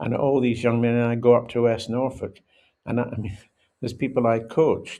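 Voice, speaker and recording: Over a quiet background, a man speaks in a dark, mellow tone at a medium pitch. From Scotland. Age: 80s+. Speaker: former rugby international. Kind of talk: podcast interview.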